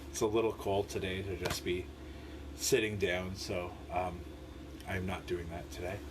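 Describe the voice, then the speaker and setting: This man's pitch is very deep and low, and he keeps a moderate pace. Noticeable background noise runs underneath. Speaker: lay bible study leader. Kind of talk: live-streamed bible devotional. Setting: home live stream. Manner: slurs some words; casual, hesitant with fillers.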